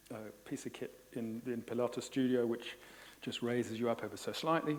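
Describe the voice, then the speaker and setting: A man's medium-pitched voice with an Australian accent, at a fairly quick pace, with fairly even intonation. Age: 50s. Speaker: Pilates instructor. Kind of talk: conference presentation. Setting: conference hall with audience.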